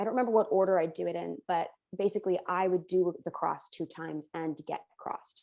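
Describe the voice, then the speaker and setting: A woman speaks with a dark, mellow tone. Her intonation stays fairly even. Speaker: college mock trial competitor. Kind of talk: casual chat. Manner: fast.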